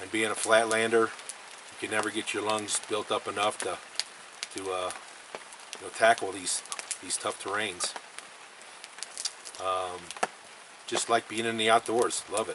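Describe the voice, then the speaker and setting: A man with a fairly low pitch speaks at a fairly slow pace with long, frequent pauses. His intonation is monotone and flat, over noticeable background noise. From Missouri (St. Louis area). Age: 60s. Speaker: elk hunter, retired construction worker. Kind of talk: casual interview.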